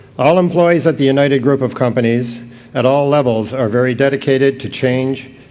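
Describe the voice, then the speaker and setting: A man with a Canadian accent talks at medium pitch and a fairly quick pace, with fairly even intonation. Noticeable background noise and audible room echo fill the recording. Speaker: company president. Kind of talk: award acceptance speech. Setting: stage with audience.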